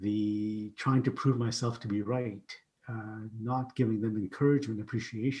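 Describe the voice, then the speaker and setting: A man's dark, mellow, somewhat breathy voice at medium pitch, monotone and flat, at a moderate pace, with a Canadian accent. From Canada (Ottawa), immigrant from Uganda via Pakistan. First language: not English. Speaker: keynote speaker and IT company CEO. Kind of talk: podcast interview, personal story.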